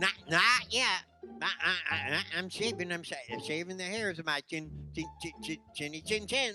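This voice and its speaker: A put-on character voice at a middle pitch over clear music in the background. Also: moderate pace. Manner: stuttering.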